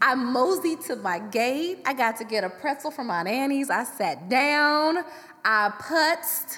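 A woman speaks in a raised, projected voice at a high pitch, with very wide pitch swings. Her tone is animated, and her pace is fairly slow. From US Midwest, Chicago South Side. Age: 30s. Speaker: hairstylist and podcast co-host. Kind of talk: casual chat. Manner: animated, laughing.

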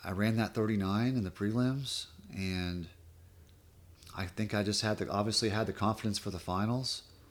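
A man speaks at a moderate pace with a fairly low pitch. His pauses are long and frequent. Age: 40s. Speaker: pro water skier. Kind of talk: casual chat. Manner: animated.

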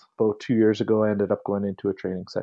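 The speaker talks at a very fast pace with a western Canadian accent. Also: man. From Calgary, Alberta, Canada. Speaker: police trainer. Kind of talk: interview conversation. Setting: phone call.

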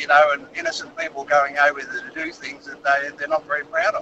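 At a fairly quick pace, a man speaks with an Australian accent. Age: 60s. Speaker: caller, army veteran. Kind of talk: phone-in anecdote.

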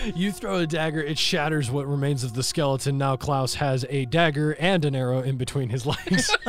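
Against noticeable background noise, the voice moves at a fairly quick pace with ordinary pitch variation. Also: man. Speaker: dungeon master. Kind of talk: tabletop role-playing game session, storytelling.

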